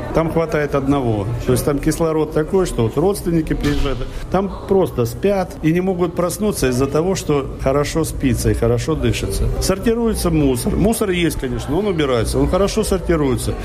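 A man talks at a moderate pace with very even loudness. Noticeable background noise runs underneath. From Russia, Volgograd. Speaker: chanson singer. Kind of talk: interview. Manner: conversational.

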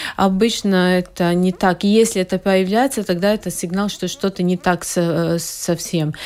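Speaking at a moderate pace with hardly any pauses, a woman with a Latvian accent keeps a medium pitch and fairly even intonation. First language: Latvian (speaking Russian). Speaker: proctologist. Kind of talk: radio interview. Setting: studio.

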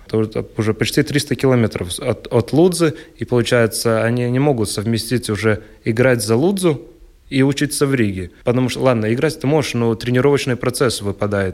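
At a moderate pace, a man talks in an unremarkable speaking voice, his pitch medium and varying in an ordinary way. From Latgale, Latvia (Ludza). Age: 20s. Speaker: handball player. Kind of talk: radio interview.

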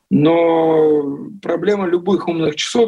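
Speaking at a very slow pace, a man with a high pitch has a dark, mellow tone. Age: 40s. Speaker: journalist and watch collector. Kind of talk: interview.

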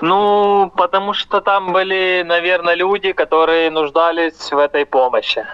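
A man with a high pitch speaks fairly slowly, keeping his intonation fairly even and his loudness very even. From Ukraine. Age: 20s. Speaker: volunteer, former prisoner of war. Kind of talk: interview testimony.

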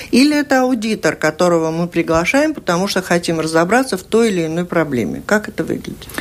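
Speaking very fast with hardly any pauses, a woman uses a fairly low pitch and very wide pitch swings. Noticeable background noise sits behind her. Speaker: radio host. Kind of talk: radio interview. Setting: studio.

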